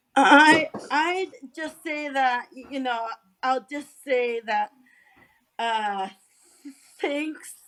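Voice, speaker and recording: A woman with high pitch and ordinary pitch variation speaks at a very slow pace, with big swings in loudness and long, frequent pauses. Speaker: community support worker, podcast guest. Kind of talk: casual interview. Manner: stuttering.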